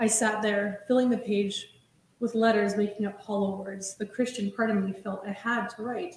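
The intonation is fairly even. It belongs to a natural reading voice.

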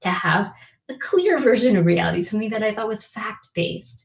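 A woman speaks at a very fast pace and fairly high pitch. Vocal fry runs through her voice. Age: 50s. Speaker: law professor. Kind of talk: keynote lecture. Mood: warm, earnest. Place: home room. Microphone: webcam.

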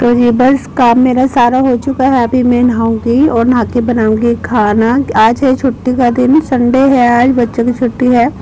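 A woman talks fairly slowly at a high pitch, with monotone, flat intonation and very even loudness. Light background noise is present. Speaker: home vlogger. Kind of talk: casual vlog chat. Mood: cheerful, smiling.

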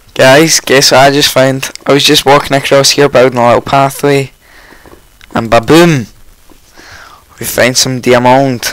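A man speaks at medium pitch and a fairly slow pace, croaky yet with a clear, smooth tone and little pitch movement.

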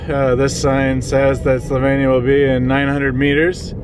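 A man's voice has a dry sound with no echo. Noticeable background noise runs underneath. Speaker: travel vlogger and language learner. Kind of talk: casual travel vlog. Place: car.

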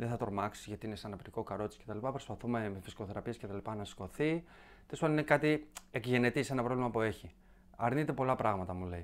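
This man talks at a very fast pace with a medium-pitched voice. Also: ordinary pitch variation. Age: young. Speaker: comedy content creator. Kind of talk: casual chat.

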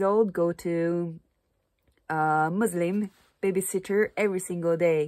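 In a Japanese accent, a woman talks at a very slow pace with a fairly low pitch and a dark, mellow tone. Her intonation stays fairly even against a quiet background. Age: 30s. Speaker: Japanese teacher and vlogger; vlogger, language teacher. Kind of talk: casual vlog monologue; casual vlog chat. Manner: halting, frequent fillers. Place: home room. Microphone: phone near.

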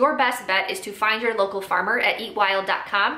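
Audible room echo follows this woman's voice as she talks. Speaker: small farm educator. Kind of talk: educational explainer to camera. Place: home room.

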